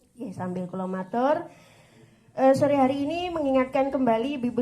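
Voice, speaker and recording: A woman's high-pitched voice with a dark, mellow tone at a fairly quick pace, with audible room echo. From West Java (Sundanese). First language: Sundanese (speaking Indonesian). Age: 40s. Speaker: female Islamic preacher and religious counselor. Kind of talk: religious study talk to women's group. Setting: pendopo hall with audience. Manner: conversational, informal.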